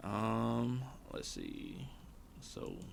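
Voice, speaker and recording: The voice has vocal fry. Room echo is audible. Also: man. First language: not English. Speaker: gaming streamer. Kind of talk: live gameplay stream commentary. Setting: live stream.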